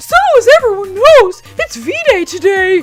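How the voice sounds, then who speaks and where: A put-on character voice at an extremely high pitch and fairly slow pace, with faint music in the background. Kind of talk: announcer. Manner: cheerful.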